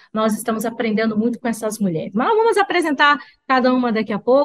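A woman speaks in a Brazilian accent at a fairly quick pace. Her tone is animated and her pitch is high. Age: 50s. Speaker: talk show host. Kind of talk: live talk show chat. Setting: studio. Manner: talkative.

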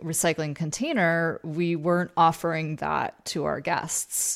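A woman's fairly low, fairly slow voice with an American accent, an ordinary speaking voice, on a very clean recording with a silent background. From Vermont, US. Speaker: podcast host and leadership coach. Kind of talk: interview conversation.

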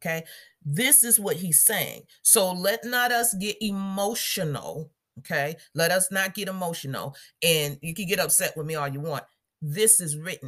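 With lively intonation, a woman talks at a moderate pace in an unremarkable speaking voice of medium pitch. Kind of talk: devotional Bible teaching and fervent prayer. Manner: fervent, commanding prayer; warm, casual, self-correcting, laughs.

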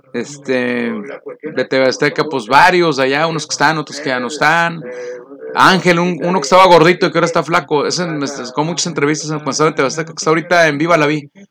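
A man with a fairly high voice talks at a fairly quick pace over noticeable background noise. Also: ordinary pitch variation. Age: 50s. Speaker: radio announcer. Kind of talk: casual chat.

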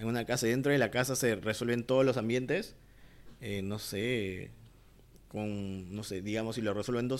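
In a normal speaking voice, a man of medium pitch talks with fairly even intonation. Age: 30s. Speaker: commercial filmmaker. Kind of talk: casual chat.

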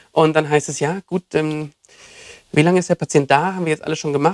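Very fast and fairly even in intonation, a man's speech comes through with a dry, close sound and no echo. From southern Germany, Lake Constance. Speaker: doctor and former physiotherapist. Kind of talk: casual chat.

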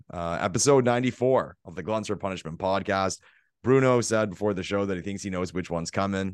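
At a very fast pace, a man talks in a very deep, low voice. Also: quiet background. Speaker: podcast co-host. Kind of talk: casual chat. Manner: hesitant with frequent fillers.

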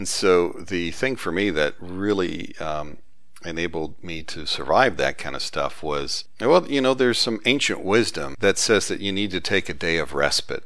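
A man with a very deep, low voice and a Southern US accent, lively intonation, and a moderate pace. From US South. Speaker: author and database expert. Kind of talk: casual interview conversation.

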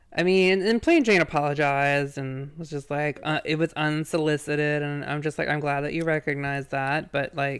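In a very clean recording with a silent background, a man with a slight Southern US accent speaks at a moderate pace, his fairly high pitch held in fairly even intonation. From Virginia, US. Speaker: podcast host. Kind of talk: casual banter, podcast recap. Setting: live recording, podcast.

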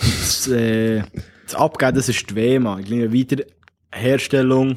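Medium pitch and fairly even intonation from a man with an ordinary speaking voice. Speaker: podcast co-host, soldier. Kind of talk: casual chat. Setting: bunker.

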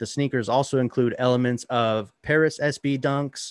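An animated, enthusiastic man's voice at medium pitch, with a dry, close sound and no echo. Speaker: podcast host. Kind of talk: casual podcast banter.

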